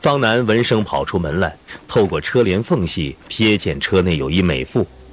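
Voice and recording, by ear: In a natural voice, someone reads aloud, the intonation lively.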